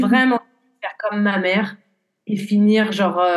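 A somewhat breathy woman's voice of medium pitch with fairly even intonation. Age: 20s. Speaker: horse riding instructor and equine therapist. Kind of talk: podcast interview, personal testimony. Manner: hesitant, many fillers.

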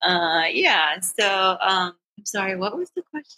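Her pace is very slow. A woman with an American accent swings her pitch very widely. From South Texas. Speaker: librarian and cannabis advocate. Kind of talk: personal testimony in interview. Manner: hesitant, many fillers.

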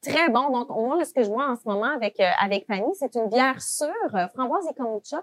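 Speaking at a fairly quick clip, this voice has lively intonation and big swings in loudness, with a dry, close sound and no echo. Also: woman, high pitch for a woman. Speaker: podcast co-host. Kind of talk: podcast conversation.

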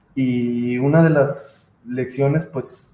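A man with a Mexican accent and a fairly high pitch keeps his intonation fairly even. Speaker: podcast co-host. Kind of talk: casual chat.

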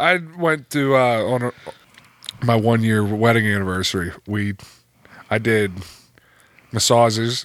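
A man with an American accent talks at a fairly slow pace, leaving long, frequent pauses. His pitch is medium, with ordinary variation. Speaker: podcast co-host in recovery. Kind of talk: casual chat. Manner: laughs often.

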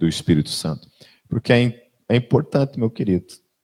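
A man at a moderate pace, ordinary pitch variation, dry, close sound with no echo. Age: 40s. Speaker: pastor. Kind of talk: sermon. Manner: conversational.

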